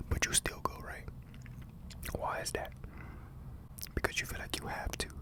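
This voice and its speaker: Someone whispers against noticeable background noise. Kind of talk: ASMR motivational talk. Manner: whispered.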